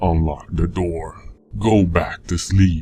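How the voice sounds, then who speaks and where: A man puts on a raspy character voice with a very deep, low pitch and ordinary pitch variation, speaking at a fairly slow pace as faint music plays in the background. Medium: read story. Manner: menacing, commanding.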